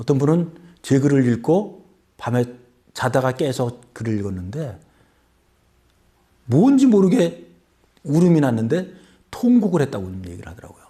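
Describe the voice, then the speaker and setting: A man speaks slowly in a fairly high pitch, somewhat breathy with a dark, mellow tone. His pitch swings very widely, broken by long, frequent pauses. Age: 60s. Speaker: author. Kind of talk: interview.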